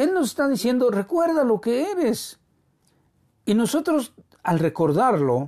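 The voice has a warm tone and moves at a very slow pace. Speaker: preacher. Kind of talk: sermon. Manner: warm, earnest, pastoral tone, unhurried and exhorting; formal, reverent.

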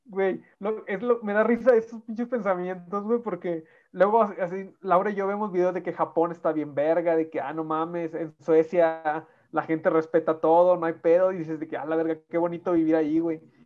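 Speaking at a moderate pace with hardly any pauses, a high-pitched man uses ordinary pitch variation. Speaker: podcast co-host. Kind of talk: casual chat. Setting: video call.

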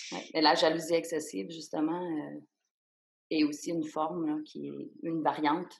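A woman with a Quebec accent speaks at a moderate pace in a very deep, low pitch with vocal fry. Her loudness swings widely. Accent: Québécois French. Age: 30s. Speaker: psychotherapist. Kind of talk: interview testimony. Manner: halting.

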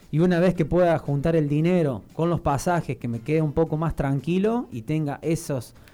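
Over music in the background, a man speaks at a moderate pace with a fairly high pitch and ordinary pitch variation. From Argentina, Río Cuarto (Córdoba). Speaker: athlete. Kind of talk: radio interview. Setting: studio.

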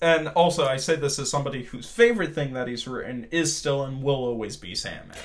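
Over noticeable background noise, a man with an American accent talks at a fairly quick pace in a fairly high pitch. His pitch varies in an ordinary way while his loudness swings widely. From Washington DC, US, moving often with yearly trips to Portugal. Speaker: filmmaker. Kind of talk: casual interview chat.

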